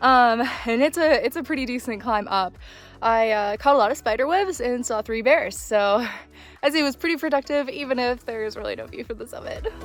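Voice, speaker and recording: Music plays in the background as a woman speaks at a fairly quick pace. Her voice is high-pitched with lively intonation. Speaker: hiker. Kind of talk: casual talk to camera. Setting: outdoors.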